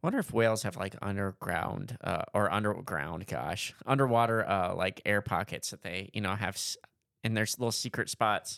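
In a very clean recording with a silent background, a man uses an ordinary speaking voice, fairly low in pitch, with ordinary pitch variation at a moderate pace. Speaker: podcast co-host. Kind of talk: casual chat.

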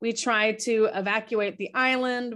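A woman's fairly high voice with an American accent and fairly even intonation, over a quiet background. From Florida, US. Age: 50s. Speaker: author and tour guide. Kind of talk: interview testimony. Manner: halting, with many repetitions.

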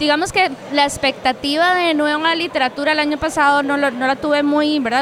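A high-pitched woman talking fairly quickly with hardly any pauses, her intonation fairly even, over noticeable background noise. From Costa Rica, Cartago. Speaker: podcast host. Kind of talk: casual chat and interviews. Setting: book fair venue.

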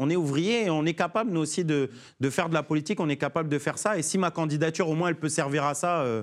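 At a very fast pace, a man with a fairly high pitch speaks at a very even loudness. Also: ordinary pitch variation, very clean recording, silent background. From France, Paris suburbs (Sarcelles). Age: 30s. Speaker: trade unionist and presidential candidate. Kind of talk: political interview. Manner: halting, many repetitions and fillers.

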